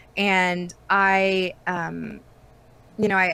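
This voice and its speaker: Her tone is bright and sharp, and this woman talks at a medium pitch. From Canada, rural Ontario. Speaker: voice actress. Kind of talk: interview. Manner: many fillers, um.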